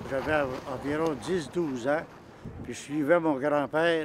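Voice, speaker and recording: Intonation stays fairly even as the words come out at a very slow pace. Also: man. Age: 70s. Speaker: snowshoer. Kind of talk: interview.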